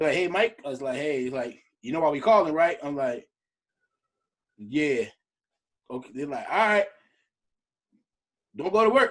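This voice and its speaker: A man speaks in an animated tone with lively intonation. He leaves long, frequent pauses. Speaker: podcast co-host. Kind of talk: casual chat.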